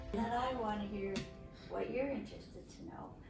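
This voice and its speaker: Speech from a woman, with audible echo from the room and noticeable noise behind her. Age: 60s. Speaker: nurse and POTS patient. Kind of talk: casual conversation.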